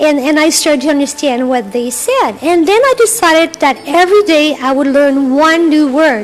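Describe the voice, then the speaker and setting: Over noticeable background noise, a high-voiced woman speaks at a moderate pace in a French Canadian accent with ordinary pitch variation. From Quebec. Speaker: health and wellness coach. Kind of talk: interview. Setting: live radio broadcast on location at an open house.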